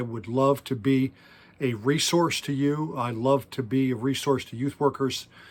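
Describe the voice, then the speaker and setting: A man talks at a fairly slow pace in an unremarkable speaking voice. His medium pitch carries fairly even intonation. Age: 60s. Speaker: youth pastor. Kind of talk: workshop talk.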